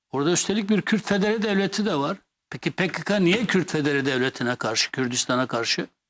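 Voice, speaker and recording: Recorded dry and close with no echo, a man speaks at a high pitch with very wide pitch swings, very even loudness and a moderate pace. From Kurdish Turkey. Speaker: former MP and columnist. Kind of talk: TV interview. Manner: animated.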